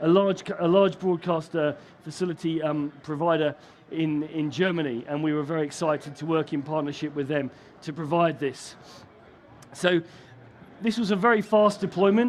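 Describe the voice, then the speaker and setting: Speaking in a British accent, a man uses a fairly high pitch, a moderate pace and ordinary pitch variation. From UK. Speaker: broadcast technology vendor engineer. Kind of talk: conference presentation. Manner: hesitant, many fillers and restarts.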